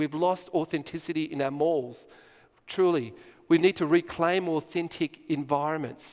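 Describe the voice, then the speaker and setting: A man with a fairly high pitch and fairly even intonation speaks at a fairly quick pace on a very clean recording with a silent background. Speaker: conference speaker. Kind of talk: conference presentation. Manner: fast.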